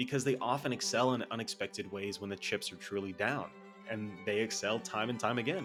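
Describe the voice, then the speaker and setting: A man talks at a fairly quick pace while music plays behind him. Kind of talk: video essay narration. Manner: casual.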